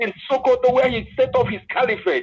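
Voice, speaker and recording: A man's extremely high voice in a Nigerian accent, with lively intonation and a moderate pace. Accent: Nigerian Igbo English. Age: 60s. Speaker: political commentator. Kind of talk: panel discussion.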